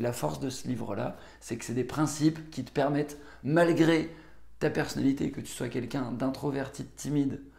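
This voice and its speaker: A man speaks at a moderate pace and a fairly high pitch, with vocal fry. His intonation stays fairly even. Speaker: book summary youtuber. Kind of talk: book review monologue. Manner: hesitant, many filler words.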